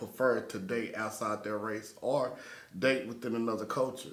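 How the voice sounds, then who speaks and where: A man with an American accent and ordinary pitch variation, amid audible room echo. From Texas, Dallas-Fort Worth. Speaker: podcast host. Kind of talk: casual chat.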